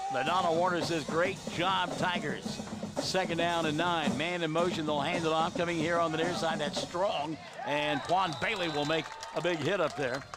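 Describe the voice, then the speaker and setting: A man with a high pitch and an American accent speaks at a moderate pace with very even loudness as music plays in the background. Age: 60s. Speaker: play-by-play sports announcer. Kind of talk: live commentary. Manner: animated.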